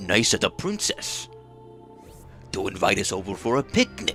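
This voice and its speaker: A man's put-on character voice over clear music in the background. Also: moderate pace. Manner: nice, cheery.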